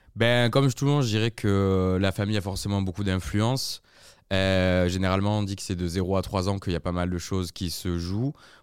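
In a very clean recording with a silent background, a man talks at a moderate pace in a normal speaking voice, his fairly low pitch showing ordinary pitch variation. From southern France (Aix/Marseille). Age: 30s. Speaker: advertising community manager. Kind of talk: casual chat.

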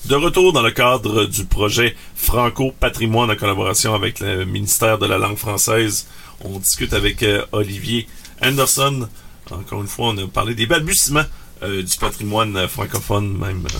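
Noticeable background noise sits behind a man at a moderate pace. His pitch is fairly low, with ordinary variation. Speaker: podcast host. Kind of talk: casual chat.

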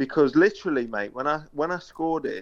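A man speaks with an East Midlands accent. He keeps a moderate pace against a quiet background. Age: 30s. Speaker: former footballer. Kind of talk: casual chat.

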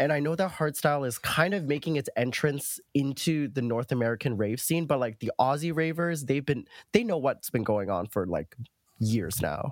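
An ordinary speaking voice moves at a moderate pace with lively intonation, recorded very cleanly against a silent background with a dry, close sound and no echo. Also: man, fairly high pitch for a man. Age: 20s. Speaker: grad student and rave researcher. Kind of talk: casual chat.

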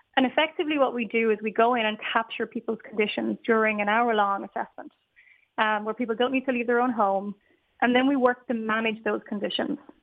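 A woman speaks with an Irish accent at a fairly high pitch. She goes at a very fast pace with fairly even intonation. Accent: Irish (Galway). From Ireland, Galway. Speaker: technology executive. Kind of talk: radio interview. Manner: hesitant, with fillers and repetitions.

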